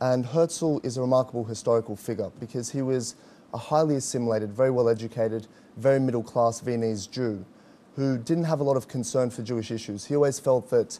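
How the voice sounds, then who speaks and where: Speaking in an Australian accent, a man uses a medium pitch and a dark, mellow tone at a fairly quick pace. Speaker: activist spokesman. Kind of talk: interview.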